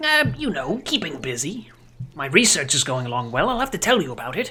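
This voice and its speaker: Using a put-on character voice at a middle pitch, the speaker moves at a fairly quick pace with very wide pitch swings. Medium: actual play. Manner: fussy, grandfatherly.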